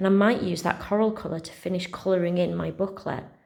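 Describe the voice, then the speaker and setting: Talking very fast, a woman uses a fairly low pitch and fairly even intonation, with vocal fry. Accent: West Yorkshire. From West Yorkshire, England. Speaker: primary school teacher. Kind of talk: casual talk to pupils. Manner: friendly, chatty.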